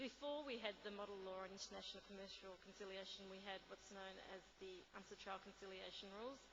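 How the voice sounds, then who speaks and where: In an Australian accent, a woman of medium pitch talks very fast with fairly even intonation, amid audible room echo and noticeable background noise. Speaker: conference speaker, UN trade law officer. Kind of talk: conference talk. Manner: halting, many fillers.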